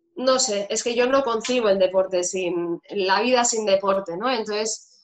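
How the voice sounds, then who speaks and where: At a fairly slow pace, a woman talks in an ordinary speaking voice with a fairly high pitch and ordinary pitch variation. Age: 30s. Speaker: fitness instructor. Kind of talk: interview.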